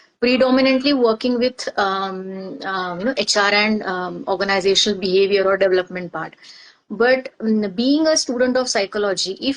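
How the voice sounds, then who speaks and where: A woman speaks at medium pitch with a Marathi Indian accent. Her pace is moderate and her pitch varies in an ordinary way. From India, Maharashtra. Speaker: organizational psychologist. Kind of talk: interview testimony. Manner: halting, many fillers.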